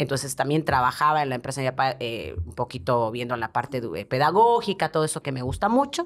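A woman with a very deep, low pitch, very wide pitch swings, and a fairly quick pace. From Bolivia (La Paz); Bolivia. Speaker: TV presenter and advertising producer; podcast guest. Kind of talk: interview. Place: studio. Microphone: studio mic.

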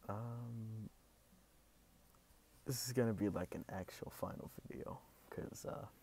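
A soft-spoken, somewhat breathy man's voice at a medium pitch, with fairly even intonation, a fairly slow pace and long, frequent pauses. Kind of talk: casual talk to camera, ASMR.

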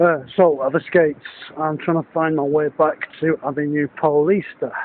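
Monotone and flat, a man speaks in a northern English accent. The pace is moderate and the sound dry with no echo. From Northern England. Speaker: business consultant and fund manager. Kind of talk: casual video diary talk to camera. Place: street. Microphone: phone near.

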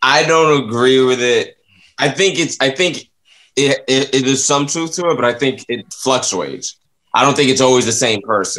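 A man speaks in an American accent with a bright, sharp tone. His pace is moderate, his pitch varies in an ordinary way, and the background is quiet. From Florida, US South. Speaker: comedian. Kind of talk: casual chat. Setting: studio. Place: home room. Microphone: webcam.

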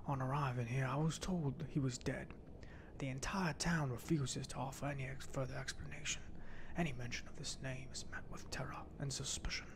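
Soft-spoken and somewhat breathy, a man talks at a fairly quick pace over light background noise. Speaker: game streamer. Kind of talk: casual gaming commentary and reading quest text. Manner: soft ASMR reading voice. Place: home room.

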